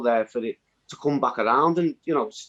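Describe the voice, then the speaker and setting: A man speaks with a northwest English accent. The sound is dry and close, with no echo. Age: 40s. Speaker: community activist. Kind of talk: interview. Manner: halting, many repeated words.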